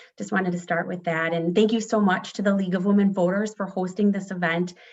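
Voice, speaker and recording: At a fairly quick pace, a woman with an American accent speaks at a medium pitch with fairly even intonation. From northern Illinois, US. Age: 40s. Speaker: political candidate. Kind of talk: candidate forum opening statement.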